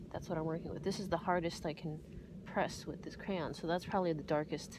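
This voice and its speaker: A woman with a fairly low pitch mumbles in fairly even intonation. The sound is dry with no echo, and music plays in the background. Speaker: art teacher. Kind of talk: drawing tutorial talk. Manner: mumbling, hesitant; casual, relaxed. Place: garden. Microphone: phone near.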